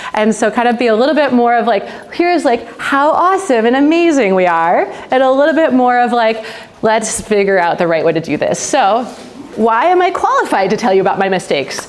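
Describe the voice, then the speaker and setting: A woman with an American accent talks at a fairly quick pace in a high pitch, with very wide pitch swings and very even loudness. Noticeable background noise and audible room echo fill the recording. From United States. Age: 40s. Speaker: nonprofit founder. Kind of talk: conference talk. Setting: stage with live audience. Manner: casual, filler-heavy; projecting loudly.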